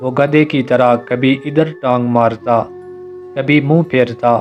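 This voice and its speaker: Fairly even intonation runs over music playing in the background. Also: man. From Azad Kashmir. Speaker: voice-over artist. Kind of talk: story narration.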